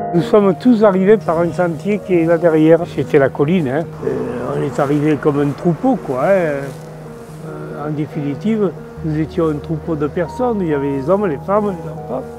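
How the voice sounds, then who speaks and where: The voice moves at a moderate pace, its pitch varying in an ordinary way. Music can be heard in the background. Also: man, fairly high pitch for a man. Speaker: war witness. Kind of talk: testimony.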